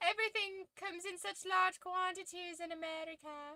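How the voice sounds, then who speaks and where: A put-on character voice, squeaky and extremely high, in a British accent. It moves at a moderate pace. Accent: weird British, unspecific. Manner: joking, exaggerated.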